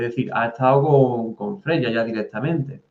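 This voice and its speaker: Using ordinary pitch variation, a man speaks at a fairly slow pace and medium pitch. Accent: Andalusian. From Andalusia, Spain. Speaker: podcast host. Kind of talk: interview.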